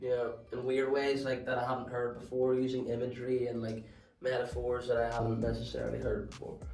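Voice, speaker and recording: A man talks at a fairly quick pace and medium pitch with monotone, flat intonation. Music plays in the background, and room echo is audible. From Northern Ireland, near Belfast. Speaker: rapper and videographer. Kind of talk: interview. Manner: casual, with filler words.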